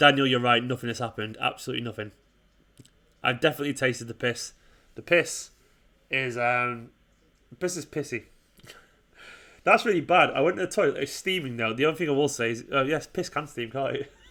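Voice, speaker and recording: Over a silent background in a very clean recording, a man with an English accent talks at a fairly quick pace but with long, frequent pauses. His medium-pitched voice has a bright, sharp tone and ordinary pitch variation. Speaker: football fan channel host. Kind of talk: live stream watchalong chat. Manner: fast.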